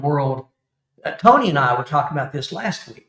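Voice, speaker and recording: A man is speaking. He has an Alabama accent. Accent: Alabama Southern. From Alabama, US South. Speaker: YouTube camping channel creator, Army veteran. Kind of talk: casual chat.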